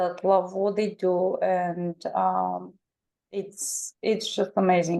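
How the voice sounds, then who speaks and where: In a Bulgarian accent, a woman speaks at a very slow pace with a dark, mellow tone. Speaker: twelve-step program member. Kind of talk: testimony. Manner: halting.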